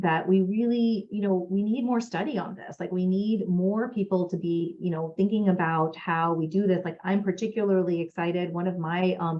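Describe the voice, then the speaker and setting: A woman's medium-pitched voice, fairly even in intonation, with hardly any pauses and noticeable background noise. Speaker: gynecologic oncologist. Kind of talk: lecture. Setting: webinar. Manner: fast.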